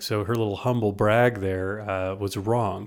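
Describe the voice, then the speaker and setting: Here a man with an American accent has a normal speaking voice and a fairly low pitch. He speaks at a moderate pace in a very clean recording with a silent background. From United States. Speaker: podcast co-host. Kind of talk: casual chat.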